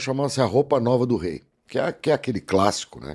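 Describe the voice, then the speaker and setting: A man talks at a very fast pace with vocal fry and a dark, mellow tone in a very clean recording with a silent background. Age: 60s. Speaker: actor and voice-over announcer. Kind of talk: casual podcast interview.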